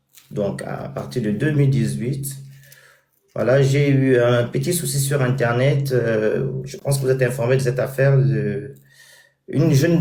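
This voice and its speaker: A man's dark, mellow tone at a very slow pace, fairly even in intonation, with audible room echo. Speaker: social media personality and charity founder. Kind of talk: interview.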